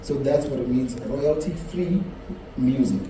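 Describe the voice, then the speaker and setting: Moderate pace over noticeable background noise. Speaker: broadcaster. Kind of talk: panel talk at a festival.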